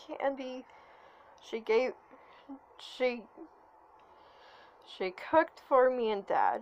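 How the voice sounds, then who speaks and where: Speaking at a very slow pace, a woman talks in a high pitch. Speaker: online content creator. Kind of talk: emotional vent. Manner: halting, stuttering.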